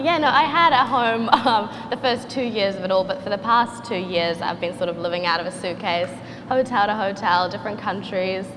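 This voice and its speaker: A woman with a New Zealand accent talks at a fairly quick pace with lively intonation and a medium pitch. Audible room echo and noticeable background noise fill the recording. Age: 20s. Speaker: artist and social media creator. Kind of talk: panel discussion.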